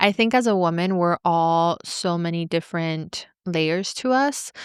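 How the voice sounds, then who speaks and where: A woman with a plain, everyday voice speaks fairly slowly in a fairly low pitch with ordinary pitch variation, recorded very cleanly against a silent background with a dry, close sound and no echo. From Venezuela, moved to US at eight. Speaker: podcast host and entrepreneur. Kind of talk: casual interview chat.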